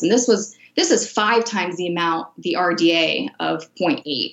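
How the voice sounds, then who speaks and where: A woman has a normal speaking voice, pitched fairly low, with ordinary pitch variation. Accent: American. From Miami, Florida. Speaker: sports nutritionist. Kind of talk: interview.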